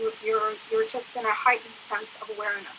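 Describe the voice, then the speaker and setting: A woman's high-pitched voice comes through noticeable background noise. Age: 60s. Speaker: guest speaking about living with PTSD. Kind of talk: interview. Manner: halting, many fillers.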